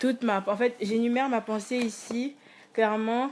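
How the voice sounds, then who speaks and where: A woman's fairly even intonation comes through amid noticeable background noise. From Congo. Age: 20s. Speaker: student and musician, vlogger. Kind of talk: casual monologue vlog. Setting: alone at home. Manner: hesitant, many fillers.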